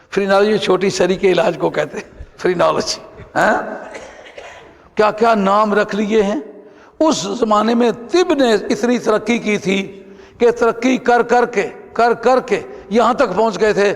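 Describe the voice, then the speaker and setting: This man has a high pitch with ordinary pitch variation. Background noise is noticeable. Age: 70s. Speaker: Sufi scholar. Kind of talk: religious lecture.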